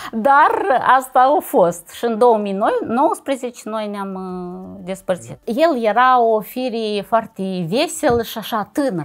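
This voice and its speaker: A woman with lively intonation and a fairly high pitch talks at a very slow pace. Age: 30s. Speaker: divorced mother telling her life story; interviewee. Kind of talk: personal testimony monologue. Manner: halting, with repetitions and fillers. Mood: reflective, animated. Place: studio. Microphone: lapel.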